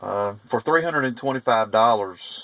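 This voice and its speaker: Fairly quick speech from a man at a medium pitch. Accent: Southern US. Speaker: private investigator reviewing car stereo. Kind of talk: product review. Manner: halting, many fillers.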